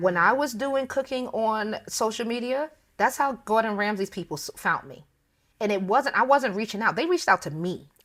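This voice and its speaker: A woman's fairly high voice with lively intonation and big swings in loudness at a moderate pace, on a very clean recording with a silent background. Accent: American. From US Northeast, the Bronx, New York. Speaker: personal chef. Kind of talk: casual interview chat. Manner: informal, not prim and proper.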